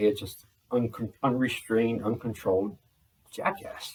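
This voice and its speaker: This man talks at a fairly slow pace in a medium pitch, sounding somewhat breathy. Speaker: vlogger. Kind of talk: casual monologue. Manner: energetic, explosive.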